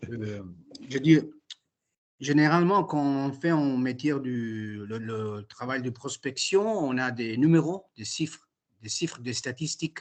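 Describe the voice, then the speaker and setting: A man with an Italian accent speaks very slowly at medium pitch, with lively intonation, long, frequent pauses and big swings in loudness. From Italy. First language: Italian (speaking French). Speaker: prospective franchisee attending session. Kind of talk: Q&A question. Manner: halting, searching for words.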